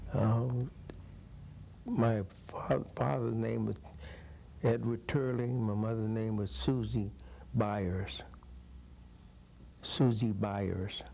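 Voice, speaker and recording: With long, frequent pauses and a very slow pace, a man speaks at a fairly low pitch in a dark, mellow tone with lively intonation, and audible room echo surrounds him. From California, Paso Robles. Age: 80s+. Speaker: former baseball player. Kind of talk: oral history interview.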